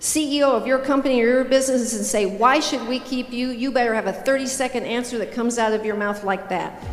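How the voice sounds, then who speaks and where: A woman's high voice at a very fast pace, with audible room echo and noticeable background noise. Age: 60s. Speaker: motivational speaker. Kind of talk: keynote speech. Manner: animated.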